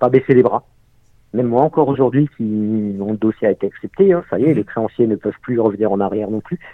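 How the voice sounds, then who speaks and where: A man talks in an ordinary speaking voice at a medium pitch. His pace is fairly quick, with ordinary pitch variation. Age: 40s. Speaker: unemployed father in debt. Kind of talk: testimony.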